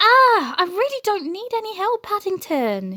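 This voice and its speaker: Using a put-on character voice, a woman talks at a moderate pace in a raised, projected, squeaky voice with an extremely high pitch and lively intonation. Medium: read story.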